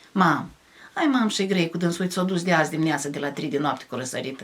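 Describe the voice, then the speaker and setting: With ordinary pitch variation, a woman talks at a very deep, low pitch. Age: 70s. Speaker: village folk poet. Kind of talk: casual chat. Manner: animated.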